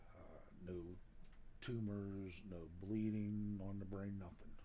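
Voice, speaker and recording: With an American accent, the speaker has a dark, mellow tone and fairly even intonation, and audible echo fills the room. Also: man. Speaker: outdoors channel owner. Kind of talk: vlog health update.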